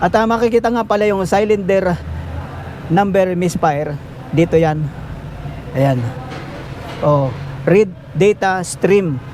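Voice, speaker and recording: Pausing long and often, a man talks at a fairly slow pace with a high pitch, ordinary pitch variation and very even loudness against noticeable background noise. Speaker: auto mechanic vlogger. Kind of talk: tutorial. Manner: casual.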